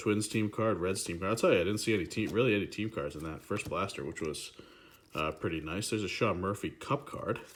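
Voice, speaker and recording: The man speaks at a very fast pace. His pitch is fairly low. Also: ordinary pitch variation. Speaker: card collecting youtuber. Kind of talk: casual unboxing commentary.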